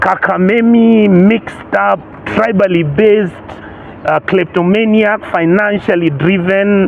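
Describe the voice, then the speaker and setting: Over noticeable background noise, a man with a high voice speaks at a very slow pace and at a very even loudness. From Kenya. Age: 60s. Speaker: senator. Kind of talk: interview. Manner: animated.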